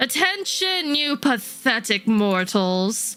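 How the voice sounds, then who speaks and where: A woman performs a booming, put-on character voice at a fairly high pitch with very wide pitch swings. She speaks at a very slow pace over faint music in the background. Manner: booming, menacing.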